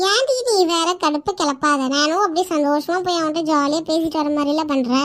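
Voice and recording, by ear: A cartoonish character voice from a woman, extremely high in pitch, at a moderate pace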